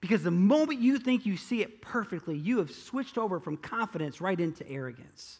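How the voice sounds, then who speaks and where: A high-pitched man talks at a moderate pace. His pitch swings very widely. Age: 40s. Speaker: pastor. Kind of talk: sermon. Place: church.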